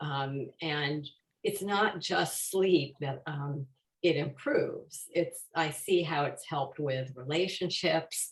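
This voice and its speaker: A woman's somewhat breathy, fairly low voice at a very slow pace, with ordinary pitch variation. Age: 70s. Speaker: customer giving testimonial. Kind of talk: testimony. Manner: halting, many fillers.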